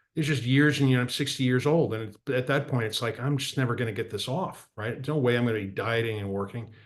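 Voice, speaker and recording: A man at a very fast pace, medium pitch and ordinary pitch variation. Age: 60s. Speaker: political and economic commentator.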